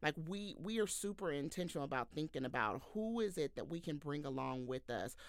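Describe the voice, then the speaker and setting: A woman's very deep, low voice with an American accent, very wide pitch swings and hardly any pauses. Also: fairly quick pace. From Texas, Houston. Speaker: communications manager. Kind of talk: podcast interview.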